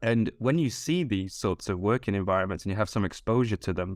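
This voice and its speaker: A man talks at a fairly quick pace with a fairly low pitch and ordinary pitch variation. The recording is very clean, with a silent background. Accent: northern English. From northern England. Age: 40s. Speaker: HR professional. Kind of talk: podcast interview. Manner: hesitant, many fillers.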